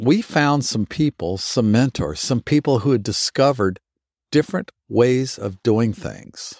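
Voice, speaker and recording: With a normal speaking voice and a medium pitch, a man uses lively intonation at a fairly slow pace. The sound is dry and close with no echo. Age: 60s. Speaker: fitness instructor. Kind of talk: motivational talk.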